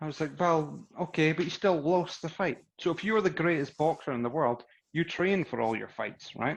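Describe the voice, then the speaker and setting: With a Scottish accent and a fairly high pitch, a man talks at a moderate pace with ordinary pitch variation against a quiet background. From Scotland. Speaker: boxing podcast host. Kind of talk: casual chat. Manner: animated.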